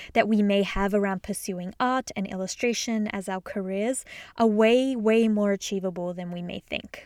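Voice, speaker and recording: A woman's fairly high-pitched voice with an Australian accent, warm and enthusiastic in tone, in a dry, close sound with no echo. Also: very clean recording, silent background. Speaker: podcast host and illustrator. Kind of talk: solo podcast monologue, casual and conversational. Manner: warm, enthusiastic, conversational.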